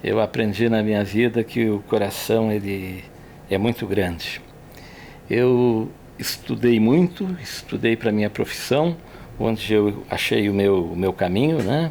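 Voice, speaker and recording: In a normal speaking voice, a man talks fairly slowly with a fairly low pitch and ordinary pitch variation. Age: 60s. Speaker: engineer. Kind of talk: personal reflection in podcast.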